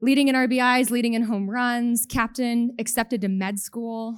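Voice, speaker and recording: With a Canadian accent, a woman speaks in an unremarkable speaking voice at a fairly quick pace, her pitch fairly high and her intonation fairly even, in a very clean recording with a silent background. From Canada. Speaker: benefits advisor, company president. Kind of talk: conference talk.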